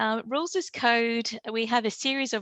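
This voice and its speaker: A woman speaks in an unremarkable speaking voice, fairly slowly and with fairly even intonation. The sound is dry and close with no echo, against a quiet background. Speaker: event host for a law and technology society. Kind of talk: webinar closing announcements.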